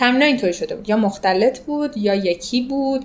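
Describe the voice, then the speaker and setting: Noticeable background noise runs under a woman's moderately paced speech. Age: 20s. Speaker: amateur triathlete. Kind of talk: interview, personal story.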